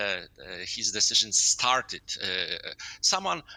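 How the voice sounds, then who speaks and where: A man talks at a fairly slow pace in a Polish accent. His tone is bright and sharp. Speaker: sports journalist. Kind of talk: interview. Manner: halting, many filler sounds.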